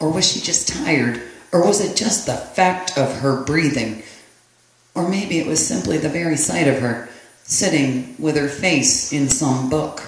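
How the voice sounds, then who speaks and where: A man's fairly high voice, fairly slow with lively intonation, over noticeable background noise. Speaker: poet. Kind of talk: poetry reading.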